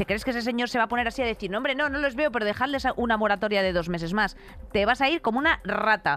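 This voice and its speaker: A woman's fairly high voice at a very fast pace. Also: ordinary pitch variation. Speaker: podcast co-host. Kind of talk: casual comedic chat.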